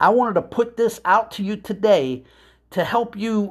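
A man's voice, very cleanly recorded, against a silent background. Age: 60s. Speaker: podcast host and business coach. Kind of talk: motivational monologue. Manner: emphatic, repetitive.

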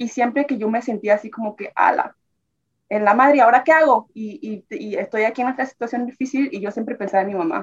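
A woman's voice at a fairly quick pace. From Nicaragua, Tipitapa near Managua. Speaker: immigrant sharing life story. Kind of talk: interview testimony.

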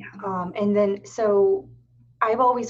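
A woman with an American accent speaks with ordinary pitch variation over noticeable background noise. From Erie, Pennsylvania. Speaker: podcast host. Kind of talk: casual interview.

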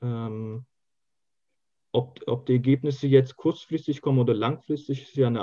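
A dark, mellow, somewhat breathy tone with fairly even intonation at a moderate pace. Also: man. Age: 20s. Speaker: youth association leader and student. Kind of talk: interview. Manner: hesitant, many filler sounds.

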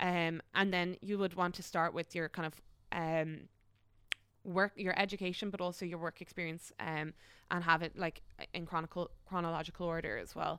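A woman speaks at a moderate pace with an Irish accent, her pitch fairly low and her tone bright and sharp. Her intonation stays flat and monotone, and the recording is very clean with a silent background. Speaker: graduate recruitment specialist. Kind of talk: casual interview.

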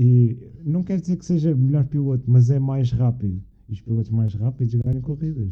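A man speaks at a moderate pace and medium pitch. His tone is dark and mellow, and somewhat breathy. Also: ordinary pitch variation. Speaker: university student. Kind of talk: casual chat.

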